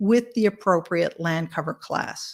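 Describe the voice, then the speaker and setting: A woman with an unremarkable speaking voice talks at a fairly slow pace in a very clean recording with a silent background. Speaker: tech company presenter. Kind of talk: conference presentation.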